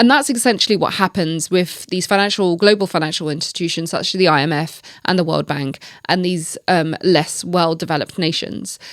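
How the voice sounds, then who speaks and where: On a very clean recording with a silent background, a woman speaks at a fairly quick pace. Her pitch is fairly low, with ordinary pitch variation. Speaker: podcast host. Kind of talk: solo podcast commentary. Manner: fast.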